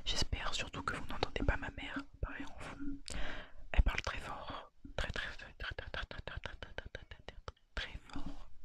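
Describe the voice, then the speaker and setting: Whispering at a fairly slow pace, a man's voice shows big swings in loudness. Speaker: ASMR creator. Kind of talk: casual talk to camera. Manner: whispered.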